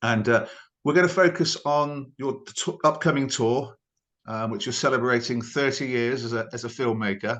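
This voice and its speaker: A normal speaking voice from a man at medium pitch, with ordinary pitch variation, a moderate pace and a quiet background. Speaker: interviewer. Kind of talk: interview questions.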